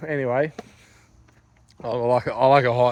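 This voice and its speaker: Speaking with an Australian accent, a man keeps a moderate pace at a medium pitch. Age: 30s. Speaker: vlogger. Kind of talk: casual vlog chat. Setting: outdoors walking at night. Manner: rambling casual, many fillers.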